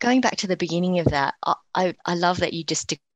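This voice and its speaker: A woman speaks with an Australian accent at a fairly quick pace. Her pitch varies in an ordinary way, and the sound is dry and close with no echo. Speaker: co-host.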